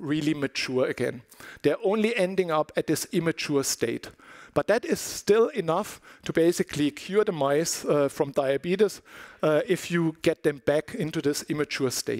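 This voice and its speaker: A man's plain, everyday voice with ordinary pitch variation at a moderate pace, in dry, close sound with no echo. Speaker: scientist giving a research talk. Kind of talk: conference lecture.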